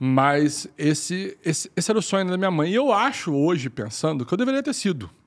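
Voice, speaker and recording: A high-pitched male voice with very wide pitch swings at a fairly quick pace, on a very clean recording with a silent background. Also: hardly any pauses. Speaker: mathematics professor and bitcoin entrepreneur. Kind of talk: podcast interview. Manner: halting, many repetitions and fillers.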